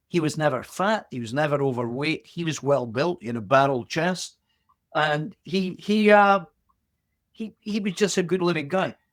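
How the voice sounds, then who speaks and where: A man speaks in an Aberdeen accent at a fairly high pitch. His pace is fairly slow and his intonation lively. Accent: Scottish (Aberdeen). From Aberdeen, Scotland. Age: 70s. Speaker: boxer. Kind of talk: interview answer.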